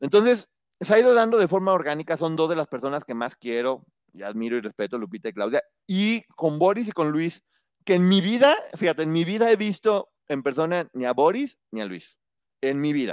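Recorded very cleanly with a silent background and a dry, close sound with no echo, a man talks at a fairly quick pace, his fairly high pitch swinging very widely. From Mexico, provincial state. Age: 40s. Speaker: book reviewer and entertainment commentator. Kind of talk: casual chat.

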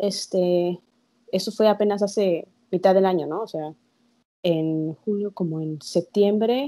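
A woman speaks at a medium pitch with a Mexican accent. Her pitch varies in an ordinary way. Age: 20s. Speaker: podcast co-host. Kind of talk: casual chat.

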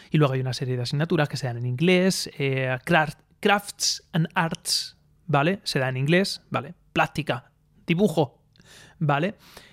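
At a fairly slow pace, a man with a fairly high pitch and ordinary pitch variation speaks in a dry, close sound with no echo. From Spain, Alicante province (Aspe). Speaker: podcaster. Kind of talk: solo opinion monologue. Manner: halting, many fillers.

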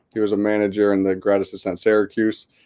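A man with a US Northeastern accent speaks with a fairly low pitch and a dark, mellow tone. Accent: US Northeast. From US Northeast, West Hartford, Connecticut. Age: 20s. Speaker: basketball coach and author. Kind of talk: interview.

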